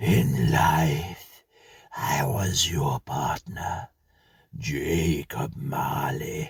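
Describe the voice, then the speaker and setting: A put-on character voice from a man, raspy and very deep and low, at a very slow pace. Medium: read story. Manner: solemn, terse.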